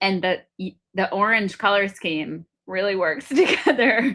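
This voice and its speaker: A loud woman's voice. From Lebanese heritage. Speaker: podcast host. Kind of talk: casual interview conversation.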